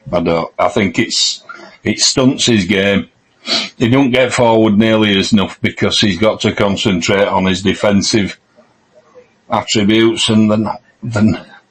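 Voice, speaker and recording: A man speaks at a moderate pace with a Yorkshire accent. His pitch is fairly low. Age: 60s. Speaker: football podcast co-host. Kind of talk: casual chat.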